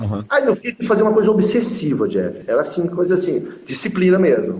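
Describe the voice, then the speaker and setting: Noticeable background noise fills the clip. A man talks at a fairly quick pace. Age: 40s. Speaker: author and opinion research consultant. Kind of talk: casual chat.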